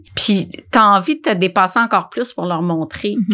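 A woman's medium-pitched voice with vocal fry, on a very clean recording with a silent background. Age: 50s. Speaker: nutritionist and food entrepreneur. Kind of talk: interview conversation.

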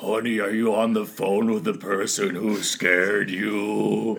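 A man performs a put-on character voice that is gruff and raspy. He speaks at a fairly low pitch and a fairly slow pace.

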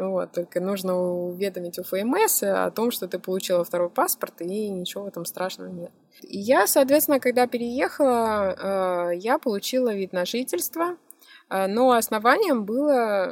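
Lively intonation from a woman at a moderate pace over music in the background. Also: medium pitch for a woman. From Russia, Moscow. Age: 30s. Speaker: blogger and photographer. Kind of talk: interview.

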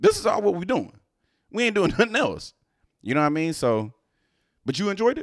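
Speech with very wide swings in pitch moves at a fairly quick pace, broken by long, frequent pauses. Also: man, high pitch for a man. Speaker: podcast host. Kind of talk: casual chat.

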